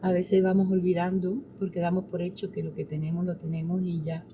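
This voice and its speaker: A woman's fairly low-pitched voice in a monotone, flat intonation. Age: 60s. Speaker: pastor. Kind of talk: interview.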